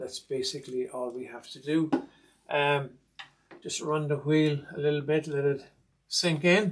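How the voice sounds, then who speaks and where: This man speaks with an Irish accent and a fairly high pitch. His pace is fairly slow. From Ireland. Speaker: sewing machine restorer. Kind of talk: tutorial.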